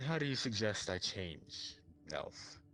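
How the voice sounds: A man's put-on character voice at a medium pitch and fairly slow pace, over clear background noise.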